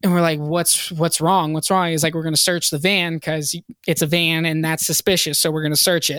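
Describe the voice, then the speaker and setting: A man speaks in an American accent with a fairly high pitch and a bright, sharp tone. His intonation is monotone and flat, and his pace fairly quick. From Virginia (Hampton), US South. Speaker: rock band singer. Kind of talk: casual interview chat.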